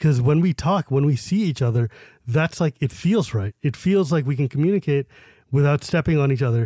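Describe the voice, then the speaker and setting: A man with a fairly high pitch and a dark, mellow, somewhat breathy tone talks at a fairly quick pace with lively intonation and very even loudness. The recording is very clean, with a silent background and a dry, close sound with no echo. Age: 40s. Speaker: Magic card game personality. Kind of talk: casual interview chat.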